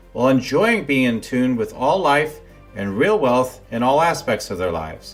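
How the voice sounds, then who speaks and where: Against music in the background, a man talks at a moderate pace and medium pitch, his pitch swinging very widely. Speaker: podcast host. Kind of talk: podcast intro read.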